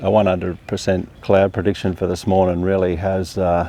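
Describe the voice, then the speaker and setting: A man talks at a moderate pace with a very deep, low pitch and monotone, flat intonation. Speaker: landscape photographer. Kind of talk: vlog tutorial. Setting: outdoors. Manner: speaking quietly.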